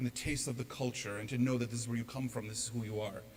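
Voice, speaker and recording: Noticeable background noise sits under a man speaking at medium pitch. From US, New York (Long Island). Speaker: speaker. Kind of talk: talk to an audience.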